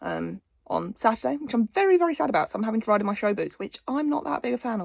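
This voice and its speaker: A woman with an English accent talks at a very fast pace, her voice dry and close with no echo. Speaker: equestrian vlogger. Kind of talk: casual vlog.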